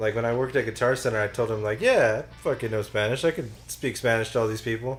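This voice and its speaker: A man of medium pitch with an American accent and fairly even intonation, music in the background. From New Mexico, US. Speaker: gaming commentator. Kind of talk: casual chat.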